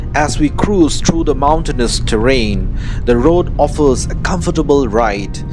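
A man speaks at a fairly slow pace. There is music in the background. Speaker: travel vlogger narrator. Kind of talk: travel vlog narration.

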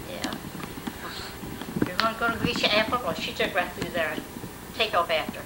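Over loud background noise, a woman talks with long, frequent pauses. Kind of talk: casual family conversation. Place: home room. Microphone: old recording.

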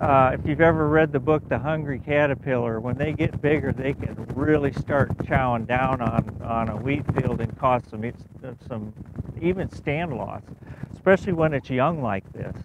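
A medium-pitched male voice at a moderate pace with ordinary pitch variation, dry with no echo, over noticeable background noise. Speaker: entomologist. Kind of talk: interview. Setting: outdoors.

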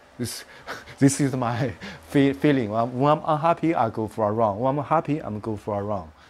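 This man speaks with a Chinese accent at a moderate pace. His pitch is medium, with ordinary variation. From China. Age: 50s. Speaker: martial arts master and teacher; teacher. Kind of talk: interview; interview answer. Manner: halting, with many fillers. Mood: animated, laughing at times. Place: home room. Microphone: lapel.

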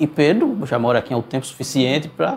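A man speaks at a fairly quick pace. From Pernambuco, Brazil (Garanhuns, Recife). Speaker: accordionist. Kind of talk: interview. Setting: video call. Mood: relaxed, thoughtful. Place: studio.

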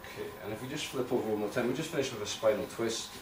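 A man talks at a very fast pace with ordinary pitch variation. Noticeable background noise runs underneath. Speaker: massage therapist. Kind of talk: tutorial. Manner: calm. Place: home room. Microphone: camera far.

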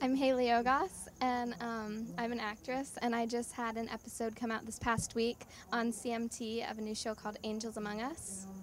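At a moderate pace, a woman with an American accent speaks at a fairly high pitch with little pitch movement.

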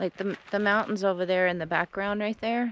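Against light background noise, a woman's voice comes through dry with no echo. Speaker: travel vlogger. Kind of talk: casual vlog chat. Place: car.

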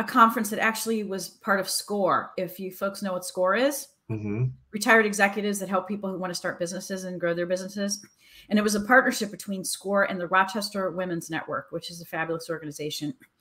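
A woman's bright, sharp voice at a very fast pace, ordinary pitch variation and big swings in loudness, over a quiet background. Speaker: career coach guest. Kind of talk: interview answer. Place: home room.

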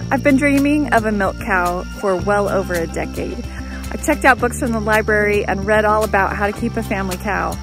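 Over clear music in the background, a woman speaks at a fairly quick pace with hardly any pauses, and the sound is dry with no echo. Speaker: homesteader vlogger. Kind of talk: casual vlog chat. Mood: excited, hopeful. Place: garden. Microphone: phone near.

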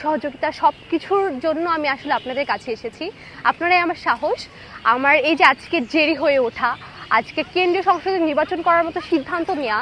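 Over noticeable background noise, a woman speaks at an extremely high pitch with ordinary pitch variation. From Bangladesh, Sirajganj (Ullapara). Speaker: student election candidate. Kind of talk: campaign appeal.

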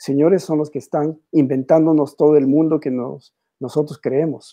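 A man speaks at a moderate pace with a dark, mellow tone and fairly high pitch against a quiet background. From Ecuador, Quito; Ecuador. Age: 60s. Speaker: painter; interviewee. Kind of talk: interview. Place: home room. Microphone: video call.

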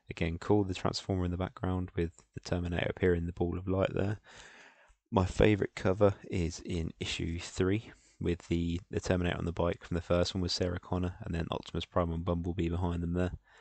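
Very deep and low, a man's voice races at a very fast pace in a monotone, flat intonation, the sound dry with no echo. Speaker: podcast host. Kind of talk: casual podcast chat. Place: home room. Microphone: headset.

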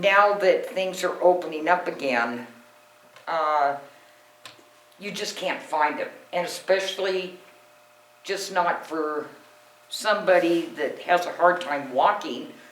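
Long, frequent pauses break up very slow speech set against noticeable background noise. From US Pacific Northwest, Washington. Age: 60s. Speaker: resident speaking at council meeting. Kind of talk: public comment presentation. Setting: city council meeting room.

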